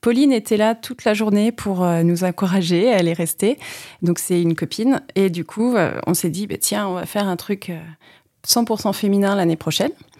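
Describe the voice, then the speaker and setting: Her voice is an unremarkable speaking voice, as a woman speaks at a moderate pace and medium pitch with ordinary pitch variation in a very clean recording with a silent background. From Vendée, France (La Roche-sur-Yon). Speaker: physiotherapist and amateur triathlete. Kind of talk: casual interview. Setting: studio.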